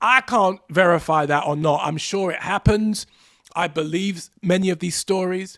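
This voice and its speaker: This man talks at a moderate pace in an animated tone, his pitch high with ordinary variation. The sound is dry and close, with no echo. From England, London. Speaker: podcast host. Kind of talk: solo podcast monologue.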